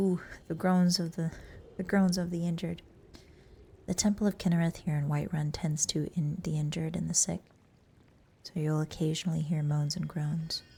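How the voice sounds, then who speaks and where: Soft-spoken and relaxed in tone, a woman talks at a moderate pace in a fairly low, monotone, flat voice with music in the background. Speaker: VTuber who streams games and makes ASMR videos. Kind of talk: ASMR game tour with lore commentary. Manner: soft-spoken, relaxed, cozy.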